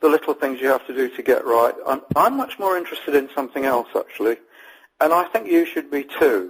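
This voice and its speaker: Talking at a fairly quick pace, the man has an English accent. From England. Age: old. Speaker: copywriter and interviewer. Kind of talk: interview. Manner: halting, with frequent fillers.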